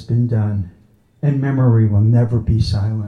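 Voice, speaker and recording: A man speaks at a medium pitch with ordinary pitch variation. His tone is dark and mellow, and somewhat breathy. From Long Island, New York.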